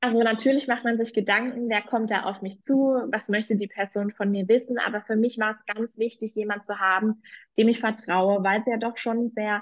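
A woman with an unremarkable speaking voice, fairly high pitch, fairly even intonation and a moderate pace. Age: 20s. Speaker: political coach, former party worker. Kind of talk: testimony.

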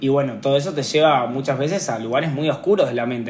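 With noticeable background noise and audible room echo, a man in a Rioplatense accent speaks in a fairly high voice with ordinary pitch variation. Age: 20s. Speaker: poet. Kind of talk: casual conversation.

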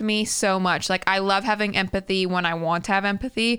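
In a very clean recording with a silent background, a woman speaks at a medium pitch. Her tone is bright and sharp. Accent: American. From US South, Tennessee. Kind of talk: casual chat. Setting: in person with co-host. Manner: loud, excitable.

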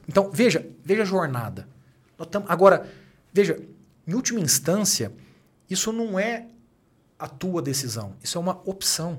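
A man speaks with lively intonation. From Brazil, Minas Gerais (Uberaba). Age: 30s. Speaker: executive and author. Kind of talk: casual interview.

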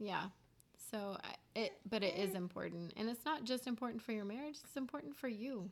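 At a fairly quick pace, a woman talks in a fairly high pitch. She has an ordinary speaking voice. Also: ordinary pitch variation. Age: 30s. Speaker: podcast co-host, stay-at-home mother. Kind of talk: casual chat between spouses.

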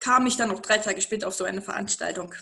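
The woman's tone comes across bright and sharp. Her pace is fairly quick. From eastern Germany. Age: 30s. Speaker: interview guest. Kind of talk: interview. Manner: animated.

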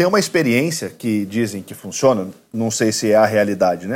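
The recording of this man is very clean, with a silent background. He talks at a fairly quick pace with very wide pitch swings. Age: 30s. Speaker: lawyer and university professor. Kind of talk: casual chat.

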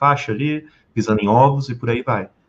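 The speaker is a man. His voice sits at a medium pitch and varies in an ordinary way. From Brazil, Rio de Janeiro. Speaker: sales and communication trainer. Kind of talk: podcast interview. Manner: animated.

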